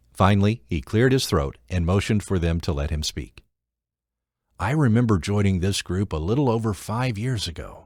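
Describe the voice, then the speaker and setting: A man with an ordinary speaking voice talks at a moderate pace with lively intonation in a very clean recording with a silent background. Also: fairly low pitch for a man. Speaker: audiobook narrator. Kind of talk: audiobook narration, non-fiction.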